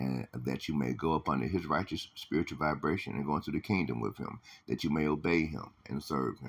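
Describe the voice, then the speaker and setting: A man with a very deep, low pitch and vocal fry talks at a fairly quick pace, with ordinary pitch variation and hardly any pauses. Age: 60s. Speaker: religious teacher. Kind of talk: religious lesson. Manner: halting, many fillers.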